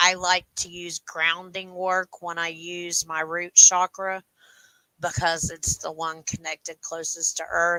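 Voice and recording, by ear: In a dry, close sound with no echo, a woman speaks slowly at a fairly low pitch with little pitch movement, her tone bright and sharp yet clear and smooth.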